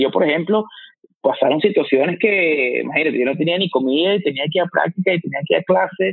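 A man with a fairly high pitch and ordinary pitch variation speaks at a very fast pace. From Venezuela, Valencia. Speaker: fitness coach. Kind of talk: interview. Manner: halting, with frequent repetitions.

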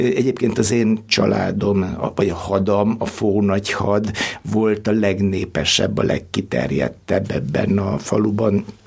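A man at a very slow pace with very even loudness and ordinary pitch variation, over noticeable background noise. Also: fairly low pitch for a man. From northern Hungary, Bükk region village. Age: 60s. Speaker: historian. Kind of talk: interview. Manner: halting, many repeated words.

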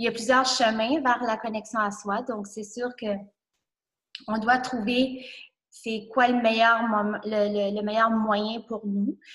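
Her fairly high voice stays monotone and flat. The woman speaks at a very slow pace. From New Brunswick. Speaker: entrepreneur. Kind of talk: casual interview. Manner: halting.

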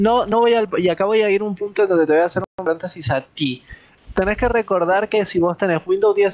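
This man's voice is high-pitched and moderately paced. Its pitch variation is ordinary. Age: 30s. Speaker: gaming podcast co-host. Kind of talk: casual chat.

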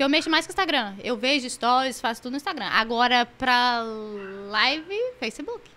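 Talking at a fairly quick pace, a woman raises and projects her high voice, her intonation lively. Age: 20s. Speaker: gaming streamer. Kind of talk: casual chat.

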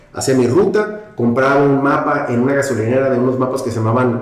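A man's medium-pitched voice with lively intonation, audible room echo and noticeable background noise. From Mexico, Tijuana. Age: 50s. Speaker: real estate executive. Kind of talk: casual interview.

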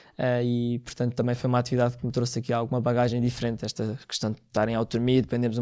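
In a very clean recording with a silent background, a man rattles along at a very fast pace, medium in pitch and monotone, flat in intonation. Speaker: scout and first-aid association founder. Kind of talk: interview. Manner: hesitant, many fillers.

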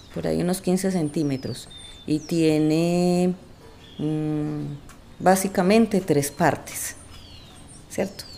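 A woman with a fairly low voice speaks at a very slow pace, her intonation fairly even and her speech broken by long, frequent pauses. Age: 50s. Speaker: storyteller in a documentary podcast. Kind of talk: personal storytelling.

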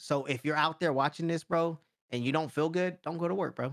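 A man with an unremarkable speaking voice talks at a fairly quick pace and fairly high pitch, with fairly even intonation and a dry, close sound with no echo. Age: 30s. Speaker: YouTuber. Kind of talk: casual chat.

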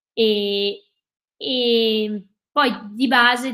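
With music in the background, a woman speaks at a fairly high pitch. Her intonation stays monotone and flat. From Veneto, Cadore (Dolomites), Italy. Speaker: ultra trail runner. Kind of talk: casual interview. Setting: live video stream.

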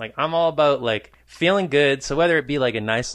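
With an ordinary speaking voice, a man talks at a moderate pace in a fairly high pitch and lively intonation over a quiet background. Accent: American. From New Hampshire, US. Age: 20s. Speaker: musician guest. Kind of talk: casual chat.

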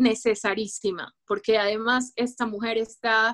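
The pace is moderate as a woman speaks. The sound is dry and close, with no echo. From Ecuador. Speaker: writer. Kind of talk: interview.

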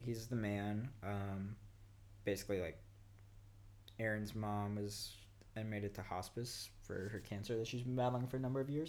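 Audible room echo surrounds a man with a Californian accent. His voice is fairly low in pitch, with ordinary pitch variation. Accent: Californian American. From Los Angeles (Inglewood). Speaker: rock climber and traveller. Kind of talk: casual chat.

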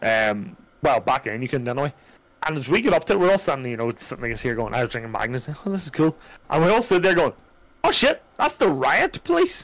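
A man's fairly high voice in an Irish accent, very fast, with very wide pitch swings. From Ireland. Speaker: streamer. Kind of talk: casual chat. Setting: live stream.

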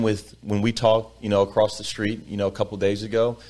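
Speaking in an American accent, a man keeps his pitch fairly low. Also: very clean recording, silent background. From Texas, Sugar Land near Houston. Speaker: political candidate. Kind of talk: interview.

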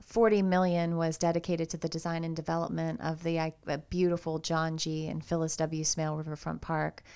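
A woman with an American accent and a dark, mellow tone speaks at a fairly low pitch and a fairly quick pace, with hardly any pauses, in a very clean recording with a silent background. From Cincinnati, Ohio (west side). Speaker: nonprofit parks foundation director. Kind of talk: podcast interview. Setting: studio. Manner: animated.

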